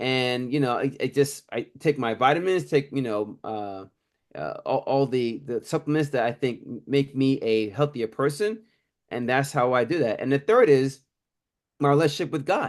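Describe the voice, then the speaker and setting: With an unremarkable speaking voice, a man talks at a moderate pace and medium pitch, with ordinary pitch variation, against a quiet background. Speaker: attorney and crypto author. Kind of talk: interview.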